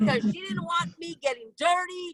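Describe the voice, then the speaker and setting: A raised, projected voice with a bright, sharp tone swings very widely in pitch, recorded dry and close with no echo. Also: woman. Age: 60s. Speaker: toastmasters club member. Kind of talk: impromptu humorous speech. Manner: animated.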